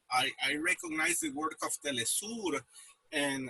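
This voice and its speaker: A man with a Spanish accent in a dry, close sound with no echo. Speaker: news website editor. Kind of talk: interview. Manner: halting, many fillers and repetitions.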